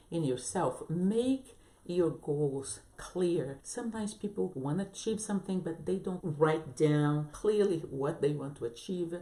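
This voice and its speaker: Speaking with a non-native accent, a woman uses a fairly low pitch and lively intonation. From abroad, non-English-speaking country. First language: not English. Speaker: business coach and entrepreneur. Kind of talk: motivational vlog talk. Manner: halting, with restarts and fillers.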